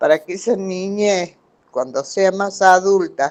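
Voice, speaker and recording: Her voice sits at a medium pitch as the woman talks. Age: 80s+. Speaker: student in a class. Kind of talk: testimony. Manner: halting.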